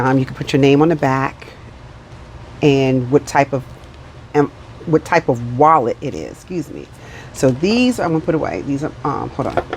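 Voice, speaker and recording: Mumbling at a moderate pace with ordinary pitch variation, the speaker leaves long, frequent pauses over noticeable background noise. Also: woman, very deep, low pitch for a woman. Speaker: budgeting vlogger. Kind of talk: casual vlog chat.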